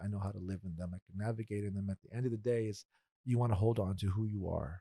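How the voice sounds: A man talks fast with a fairly low, dark, mellow voice and vocal fry. His intonation stays fairly even, and the sound is dry and close with no echo.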